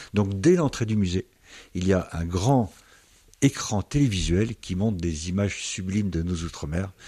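Very deep and low, a man's dark, mellow voice comes through with a dry, close sound, no echo and a very clean, silent background. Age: 60s. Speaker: museum director. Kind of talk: interview. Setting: in the museum.

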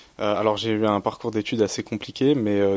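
A man speaks fairly quickly in a monotone, flat intonation. Noticeable background noise runs underneath. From Champagne, France. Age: 20s. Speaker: student. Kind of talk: radio interview. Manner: halting.

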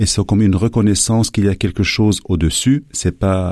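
Recorded very cleanly against a silent background, a man with a dark, mellow tone and fairly low pitch talks at a moderate pace. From Lebanon. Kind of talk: radio interview. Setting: radio studio. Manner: halting.

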